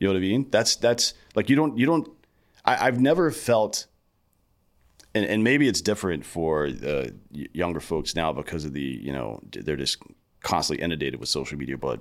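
A man with a very deep, low pitch and vocal fry speaks at a moderate pace. His pitch swings very widely, broken by long, frequent pauses. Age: 40s. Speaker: podcast host. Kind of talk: casual chat.

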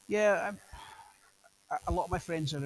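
Speaking at a moderate pace, a man talks with a Scottish accent. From Scotland. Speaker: police officer. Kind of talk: casual interview.

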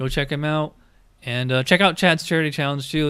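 This man has a normal speaking voice and an American accent. He talks at a fairly quick pace with fairly even intonation. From upstate New York (Schenectady). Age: 40s. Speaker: podcast host and gig worker. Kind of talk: show sign-off; casual interview chat.

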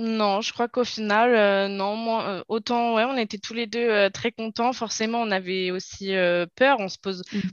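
A woman speaks at a fairly slow pace in a monotone, flat intonation at a fairly high pitch, the sound dry and close with no echo over a quiet background. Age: 20s. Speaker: young mother. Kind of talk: interview testimony. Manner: hesitant, many fillers.

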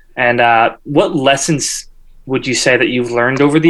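This man has an ordinary speaking voice with an American accent and a medium pitch. He talks at a moderate pace with ordinary pitch variation. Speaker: music podcast co-host. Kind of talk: casual interview.

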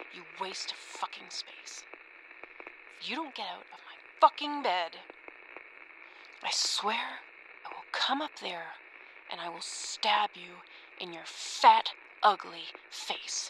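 A woman puts on a quiet, hissing character voice at a medium pitch and fairly slow pace. She leaves long, frequent pauses over light background noise. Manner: hissed, threatening.

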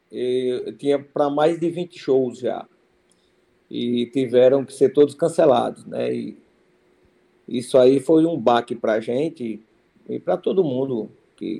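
A dark, mellow tone at a fairly slow pace, broken by long, frequent pauses. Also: man. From Ceará interior, Brazilian Northeast (Cariús). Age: 50s. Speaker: forró musician, accordionist. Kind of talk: interview. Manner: halting, many repetitions.

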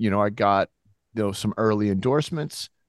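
A man with an American accent has an unremarkable speaking voice, fairly low in pitch with ordinary pitch variation, against a quiet background. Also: dry, close sound with no echo. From Massachusetts, Gloucester. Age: 50s. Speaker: former pro snowboarder, entrepreneur. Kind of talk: casual interview.

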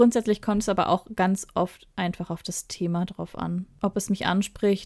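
A woman talks at a moderate pace with medium pitch. Hers is an unremarkable speaking voice. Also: very clean recording, silent background. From Ruhr area, Germany. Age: 30s. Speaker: podcast co-host, publishing PR worker. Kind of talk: casual chat.

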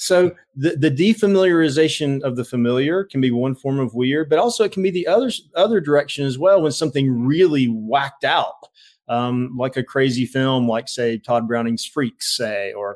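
Over a quiet background, a man with a normal speaking voice talks at a moderate pace, with fairly high pitch and lively intonation. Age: 50s. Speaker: professor and author. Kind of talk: interview conversation.

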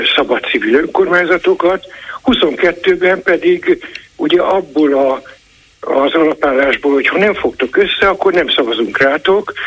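Very slow delivery with lively intonation over noticeable background noise. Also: man. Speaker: caller. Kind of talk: call-in opinion. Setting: phone call.

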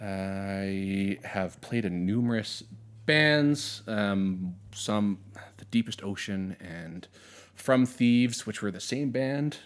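Speaking very slowly in a fairly low pitch, a man with an Albertan accent shows big swings in loudness on a very clean recording with a silent background. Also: ordinary pitch variation. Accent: Canadian (Alberta). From Southern Alberta, Canada. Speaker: high school teacher and musician. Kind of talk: casual chat.

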